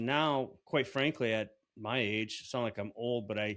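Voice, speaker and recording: The delivery comes at a moderate pace in a plain, everyday voice. Intonation stays fairly even. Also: man. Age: 50s. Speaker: podcast host. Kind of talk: casual chat.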